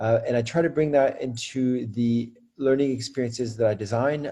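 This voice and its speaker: A man's dark, mellow, somewhat breathy voice with an American accent, fairly even intonation and a moderate pace, against a quiet background. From France. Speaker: school leader and educator. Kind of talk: interview. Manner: many fillers and repetitions.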